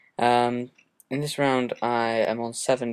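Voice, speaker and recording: This man talks with a southern English accent. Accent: British, southern English. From southern England. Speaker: gaming commentator. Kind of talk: gameplay commentary. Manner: hesitant, many fillers.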